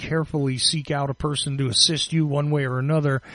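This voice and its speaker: Talking at a moderate pace, a man with a Northeastern US accent has a fairly high pitch and fairly even intonation. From US Northeast, tri-state area. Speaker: podcast host. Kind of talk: interview. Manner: halting.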